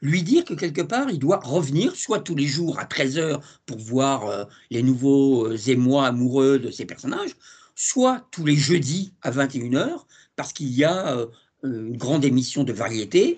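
A man talks in a plain, everyday voice at a fairly high pitch and fairly slow pace. His pitch varies in an ordinary way, and the background is quiet. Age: 60s. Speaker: TV series journalist. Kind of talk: casual interview.

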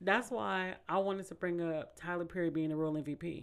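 Speaking at a moderate pace with an American accent, this is an ordinary speaking voice. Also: woman. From Bay Area, California (Vallejo). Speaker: podcast host. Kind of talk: casual chat.

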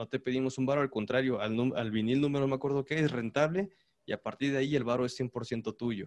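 Here is a man with an unremarkable speaking voice, talking at a fairly quick pace with ordinary pitch variation. The sound is dry and close, with no echo. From Mexico, Puebla. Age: 20s. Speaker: cumbia musician. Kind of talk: casual chat.

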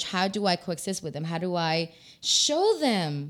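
A woman speaks with a Spanish accent in an animated tone. The recording is very clean, with a silent background. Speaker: talk show host. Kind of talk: casual bilingual panel chat. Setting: live video stream. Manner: animated, code-switching between English and Spanish.

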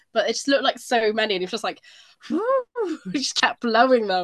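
Very fast and with lively intonation, a woman speaks at a fairly high pitch. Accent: British. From Britain. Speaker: royal news podcast co-host. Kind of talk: casual chat.

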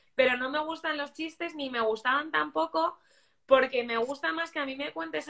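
A woman's raised, projected voice sits at a high pitch with a bright, sharp tone. Her pitch swings very widely. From Spain. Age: 20s. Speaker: life coach and holistic therapist. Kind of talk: interview.

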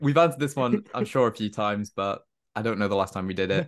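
A man speaks with a Welsh accent. His pace is fairly quick. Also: quiet background. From Wales, Cardiff. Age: young. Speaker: podcast host. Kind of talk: casual chat.

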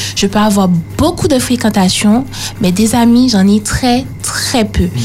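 Noticeable background noise and audible room echo fill this recording. A woman speaks at a fairly slow pace. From Martinique, Le Robert. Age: young. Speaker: youth panelist. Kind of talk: radio panel discussion.

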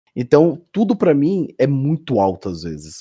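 In a dry, close recording with no echo, a man speaks at a fairly slow pace with a dark, mellow tone. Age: 20s. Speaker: horror YouTuber. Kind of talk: casual chat. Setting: voice call.

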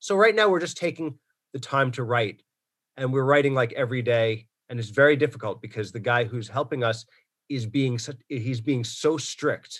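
An unremarkable speaking voice: a man with an American accent at medium pitch, ordinary pitch variation and a moderate pace. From New York, Long Island. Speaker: comedian. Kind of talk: casual chat.

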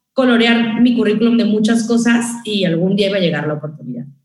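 In a room with audible echo, a woman with a fairly high pitch and an energetic tone speaks at a very fast pace with lively intonation. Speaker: radio announcer. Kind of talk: casual chat. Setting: video call.

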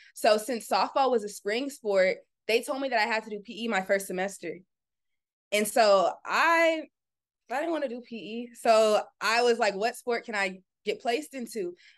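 A woman with an American accent and a normal speaking voice, fairly high pitch, ordinary pitch variation and moderate pace. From Southern California, Orange County. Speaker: content creator and entrepreneur. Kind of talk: casual interview chat.

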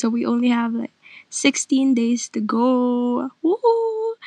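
A woman with a high pitch and a dark, mellow tone, in a dry, close sound with no echo. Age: 20s. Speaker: podcast host, college student. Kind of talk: casual solo monologue. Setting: recording inside a closet. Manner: halting, many fillers and pauses.

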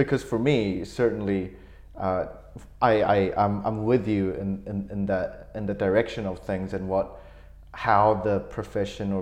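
A man speaks at a moderate pace in an unremarkable speaking voice. His pitch is fairly low and his intonation fairly even. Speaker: podcast host. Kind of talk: casual interview chat. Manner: conversational, filler-heavy.

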